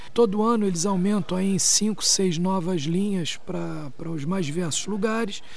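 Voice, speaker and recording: Hardly pausing, a man speaks at a moderate pace and a high pitch with ordinary pitch variation, noticeable background noise behind him. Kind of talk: interview soundbite.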